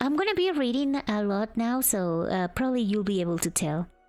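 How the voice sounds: Lively intonation from a woman over music in the background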